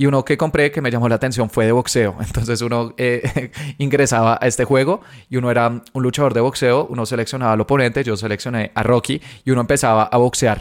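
On a very clean recording with a silent background, a man talks very fast with fairly even intonation. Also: medium pitch for a man. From Colombia. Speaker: podcast host, digital ads marketer. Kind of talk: solo podcast monologue. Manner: frequent filler hesitations.

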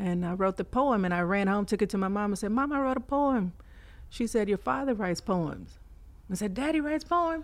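A woman with a Texan accent talks at a fairly quick pace in an animated tone, her pitch swinging very widely while her loudness stays very even against a quiet background. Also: medium pitch for a woman. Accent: Texan American. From Fort Worth, Texas. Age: 40s. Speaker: poet. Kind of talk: casual interview chat. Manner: laughs often, animated.

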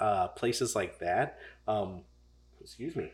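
A man with an American accent is captured on a very clean recording with a silent background. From St. Charles County, Missouri. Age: 40s. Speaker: barber, barbershop owner. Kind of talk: casual interview chat. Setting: studio.

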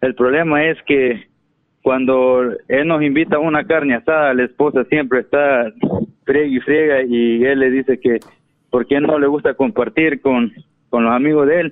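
In a plain, everyday voice, a man talks fairly slowly at a fairly high pitch, his loudness very even. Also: fairly even intonation. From El Salvador. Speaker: caller. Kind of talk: phone-in call.

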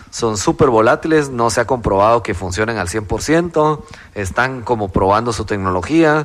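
A man speaks in a plain, everyday voice at a medium pitch and moderate pace, with lively intonation. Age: 30s. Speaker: crypto entrepreneur. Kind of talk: interview.

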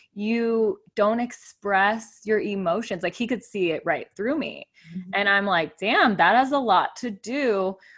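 Against a quiet background, a woman with an American accent and an ordinary speaking voice talks at a fairly slow pace and medium pitch with hardly any pauses. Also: ordinary pitch variation. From Arizona, US (Tucson). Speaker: fitness, breath and meditation coach. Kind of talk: casual chat. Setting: studio.

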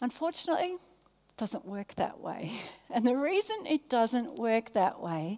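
Speaking at a very slow pace, a woman with an Australian accent has a high-pitched voice and a warm tone. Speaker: preacher, guest speaker at church. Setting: stage, church service. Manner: warm, conversational, engages audience.

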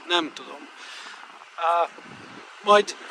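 A man with a high pitch speaks with ordinary pitch variation amid noticeable background noise. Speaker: vlogger. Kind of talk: travel vlog. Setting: outdoors. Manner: halting.

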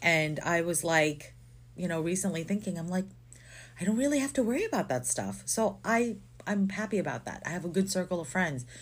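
On a very clean recording with a silent background, a woman speaks at a fairly low pitch with vocal fry. She moves at a fairly quick pace with lively intonation. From Philippines. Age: 30s. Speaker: podcast co-host. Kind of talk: casual chat.

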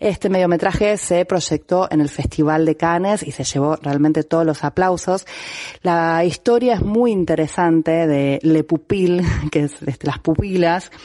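A woman's fairly low, dark and mellow voice, fairly slow, with ordinary pitch variation. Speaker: film columnist. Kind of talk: film recommendation segment.

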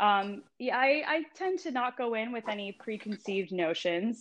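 A woman with a plain, everyday voice and an American accent, fairly high in pitch with lively intonation, at a fairly slow pace. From California. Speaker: wellness coach and yoga teacher. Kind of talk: casual interview.

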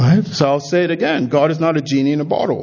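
A man speaks fairly quickly while noticeable background noise runs behind him. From Nigeria. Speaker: pastor. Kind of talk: sermon.

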